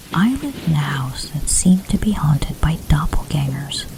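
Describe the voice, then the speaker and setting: There is noticeable background noise behind the speaker. A woman with a very deep, low pitch talks at a moderate pace. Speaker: storyteller. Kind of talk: sleep story.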